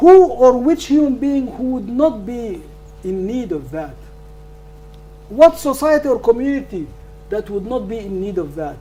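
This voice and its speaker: With big swings in loudness and very wide pitch swings, the speaker keeps a moderate pace broken by long, frequent pauses over noticeable background noise. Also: man. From northern Sudan. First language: not English. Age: 70s. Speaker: law professor. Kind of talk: lecture Q&A answer. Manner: halting, repetitive stammers.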